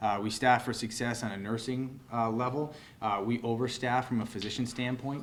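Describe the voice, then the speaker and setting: Over audible room echo, a man talks at a moderate pace and medium pitch with monotone, flat intonation. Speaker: emergency room physician. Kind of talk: press conference Q&A. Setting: press conference in hospital. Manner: loud.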